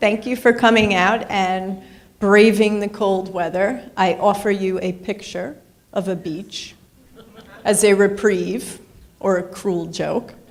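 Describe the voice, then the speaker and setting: A woman with a New York accent speaks at a very slow pace and a medium pitch. Audible room echo and noticeable background noise fill the recording. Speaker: professor. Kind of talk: lecture.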